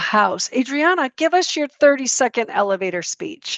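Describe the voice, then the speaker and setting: A woman with a Chicago accent, high pitch and very wide pitch swings, at a moderate pace. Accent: Chicago twang. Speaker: networking show host, lender. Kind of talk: casual online networking chat.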